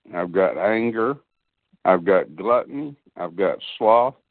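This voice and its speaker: His delivery is very slow. The man's voice rests at a mid-level pitch. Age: 70s. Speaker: demon deliverance minister. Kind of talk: religious talk.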